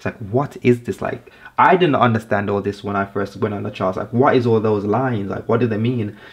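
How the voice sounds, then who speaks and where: At a fairly quick pace, a man speaks with a medium pitch and ordinary pitch variation. His loudness rises and falls sharply. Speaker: forex trading youtuber. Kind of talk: tutorial. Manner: fast; halting, with many fillers and restarts.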